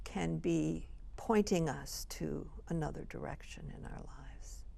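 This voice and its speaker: Very slow speech from a woman with a US Midwestern accent, with audible room echo. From US Midwest (Illinois, Chicago). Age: 70s. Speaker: retired college president. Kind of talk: TV interview.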